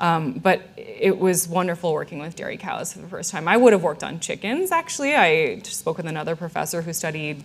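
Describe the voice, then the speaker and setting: In an American accent, a woman speaks at a fairly quick pace and fairly low pitch, with ordinary pitch variation and big swings in loudness. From US Midwest, Illinois. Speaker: animal welfare scientist, professor; professor. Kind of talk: public science lecture; audience Q&A. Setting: stage with audience, microphone. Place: hall.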